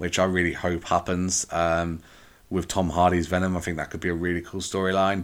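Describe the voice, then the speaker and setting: With an English accent, a man speaks fairly quickly in a very deep, low voice on a very clean recording with a silent background. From England. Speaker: podcast host. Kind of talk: solo movie review. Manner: casual, hesitant with fillers.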